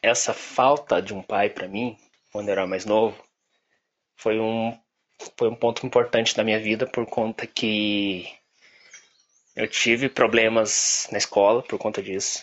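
A man speaks at a medium pitch and a fairly slow pace. Long, frequent pauses break up his speech. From Brazil, Curitiba. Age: 20s. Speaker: advertising professional. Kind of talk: personal testimony. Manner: halting.

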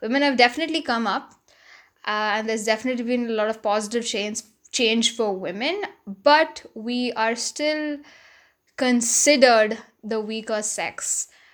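This woman has a normal speaking voice, pitched fairly high with ordinary variation. She talks at a moderate pace. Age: 20s. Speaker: podcaster. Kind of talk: solo monologue podcast. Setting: home recording with laptop. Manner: casual, frequent fillers and laughs.

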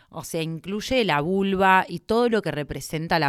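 A woman talks at a fairly slow pace in a Rioplatense accent. The recording is very clean, with a silent background. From Argentina, Buenos Aires province. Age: 30s. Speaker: doctor. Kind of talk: casual interview.

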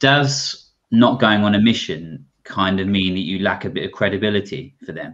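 A man with an English accent and a fairly low pitch speaks at a moderate pace with hardly any pauses and ordinary pitch variation. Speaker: podcast co-host. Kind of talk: casual chat. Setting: video call livestream. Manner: hesitant, laughs often.

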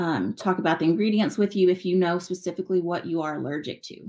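A woman with an American accent and an unremarkable speaking voice talks at a medium pitch with ordinary pitch variation, on a very clean recording with a silent background. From West Texas. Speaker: business owner. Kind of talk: interview.

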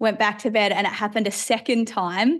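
A woman with an Australian accent, fairly high in pitch, in a flat, monotone delivery. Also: quiet background. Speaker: preacher and Bible teacher. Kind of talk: interview conversation. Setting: video call.

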